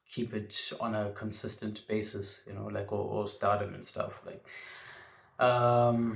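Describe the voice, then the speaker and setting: A man speaks at a very slow pace in a monotone, flat intonation. His voice is fairly low in pitch and somewhat breathy. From South Africa, Port Elizabeth. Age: young. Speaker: wrestling podcaster. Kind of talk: podcast monologue. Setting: home bedroom.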